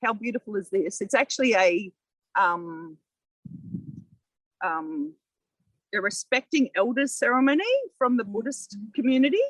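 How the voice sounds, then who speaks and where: A woman with an Australian accent and a fairly high pitch speaks at a moderate pace, the sound dry and close with no echo. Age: 60s. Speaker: local councillor. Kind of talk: podcast interview. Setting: outdoors in a community garden.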